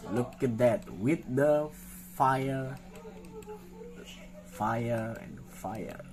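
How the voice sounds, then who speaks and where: With noticeable background noise and audible room echo, a man at a medium pitch speaks at a very slow pace. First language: not English. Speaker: clothing designer. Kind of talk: design showcase tutorial. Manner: halting; animated.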